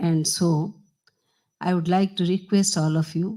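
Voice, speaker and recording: Somewhat breathy and dark, mellow in tone, a woman speaks at medium pitch with fairly even intonation. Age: 60s. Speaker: politician. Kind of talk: ceremonial speech. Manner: halting.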